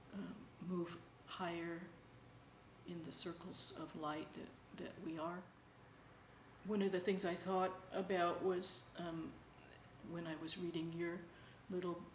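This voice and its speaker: With noticeable background noise and audible room echo, a woman speaks in a fairly low, monotone, flat voice at a fairly slow pace with long, frequent pauses. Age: 60s. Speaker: interviewee sharing spiritual experiences. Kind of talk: personal testimony. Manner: halting, many fillers.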